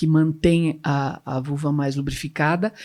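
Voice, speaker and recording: A woman with a very deep, low pitch speaks fairly slowly with fairly even intonation. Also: very clean recording, silent background. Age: 70s. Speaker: gynecologist. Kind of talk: panel discussion.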